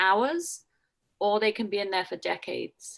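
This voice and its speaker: In a very clean recording with a silent background, a woman with a Scottish accent speaks at a moderate pace, her medium pitch carrying fairly even intonation. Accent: faint Scottish. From Scotland. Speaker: jail chaplain and priest. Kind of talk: talk to a church group.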